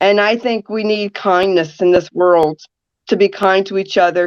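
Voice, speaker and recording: A woman with an American accent speaks at medium pitch and a moderate pace, her intonation fairly even. The sound is dry and close, with no echo. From New Jersey. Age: 60s. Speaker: radio talk show host and caregiver advocate. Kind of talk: podcast interview. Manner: straightforward.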